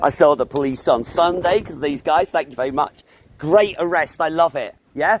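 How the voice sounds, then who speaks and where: A man at a fairly high pitch with ordinary variation and a moderate pace, dry and close with no echo, over noticeable background noise. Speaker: street activist livestreamer. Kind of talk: heated argument with police. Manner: loud; sarcastic, animated.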